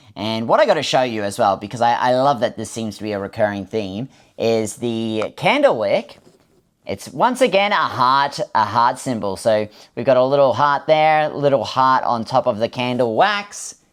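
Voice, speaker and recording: Speech unfolds at a moderate pace. Nothing can be heard in the background of this very clean recording. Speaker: unboxing YouTuber. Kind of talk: unboxing video chat. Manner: hesitant fillers, repeats words.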